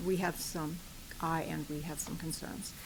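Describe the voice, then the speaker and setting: The room echo is audible as a woman talks. Her pitch rises and falls in an ordinary way. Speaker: public commenter. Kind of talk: public comment at a meeting. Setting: county board meeting room. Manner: pauses for breath; hesitant, many fillers.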